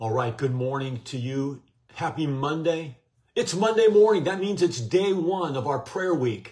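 A man talks at a medium tempo while the background stays quiet. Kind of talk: live-stream devotional greeting. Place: home room. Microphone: phone near.

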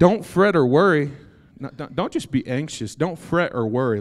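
Over a quiet background, a man speaks at a moderate pace while his pitch swings very widely. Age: 30s. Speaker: preacher. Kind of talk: sermon. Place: church. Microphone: handheld.

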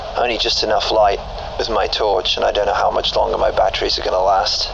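A man speaks with noticeable background noise. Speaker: gaming streamer. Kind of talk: gameplay commentary. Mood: tense, hushed storytelling. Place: home room. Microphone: studio mic.

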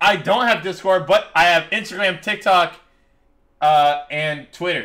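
A man's raised, projected voice, animated and bright, sharp in tone, high in pitch with ordinary pitch variation, at a fairly slow pace. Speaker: gaming streamer. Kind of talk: live gameplay commentary. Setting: live stream.

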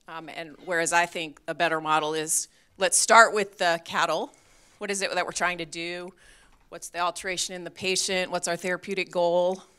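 Delivered at a moderate pace in an American accent, the speech has a bright, sharp tone and monotone, flat intonation, captured in a very clean recording with a silent background. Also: woman, fairly low pitch for a woman, big swings in loudness. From New England, US. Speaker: veterinary pharmacology professor. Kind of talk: conference keynote lecture. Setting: stage with audience.

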